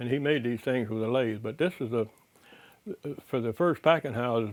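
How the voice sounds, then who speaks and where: A man with an American accent, an unremarkable speaking voice, medium pitch and a moderate pace. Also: ordinary pitch variation. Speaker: citrus industry veteran and collector of citrus memorabilia. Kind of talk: oral history interview, casual show-and-tell talk. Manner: blunt, humorous, gruff.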